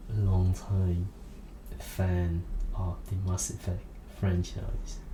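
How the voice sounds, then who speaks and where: Soft-spoken and at a very slow pace, the voice shows ordinary pitch variation over noticeable background noise. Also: man. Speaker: ASMR creator. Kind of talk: ASMR rambling monologue.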